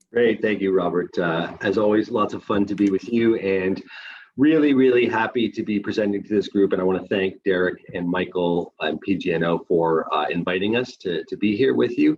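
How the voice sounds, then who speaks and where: With a Canadian accent and an ordinary speaking voice, a man talks at a moderate pace, his fairly low pitch showing ordinary variation. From Canada. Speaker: responsible gambling manager at a casino company. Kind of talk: webinar presentation.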